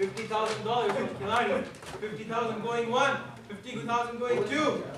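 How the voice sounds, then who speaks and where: Over noticeable background noise, the speech moves at a very slow pace with fairly even intonation. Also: man. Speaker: cricket club auction host. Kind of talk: mock player auction calling with a student-club audience. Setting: university room with live audience. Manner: jokey, laughing between lots.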